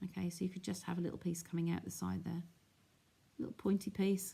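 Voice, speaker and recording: A woman with a dark, mellow tone and vocal fry talks at a fairly quick pace. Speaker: craft demonstrator. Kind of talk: live craft tutorial. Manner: casual, chatty.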